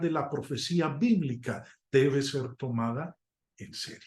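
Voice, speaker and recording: A man's very slow speech with lively intonation. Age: 60s. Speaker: preacher. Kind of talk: sermon. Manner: halting.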